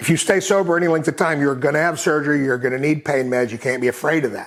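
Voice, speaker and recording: Over noticeable background noise, a man with an American accent talks very fast in a fairly high voice with ordinary pitch variation. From Texas, Austin. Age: 60s. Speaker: recovery advocate. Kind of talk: casual interview conversation.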